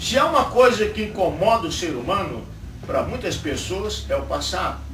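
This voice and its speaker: A moderate pace amid audible room echo and noticeable background noise. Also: man. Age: 60s. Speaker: pastor. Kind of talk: sermon. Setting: church.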